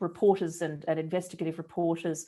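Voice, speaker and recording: An Australian accent comes through. Behind the speech, the background stays quiet. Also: woman. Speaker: research director, journalism researcher. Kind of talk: presentation of research findings. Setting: online talk with screen sharing.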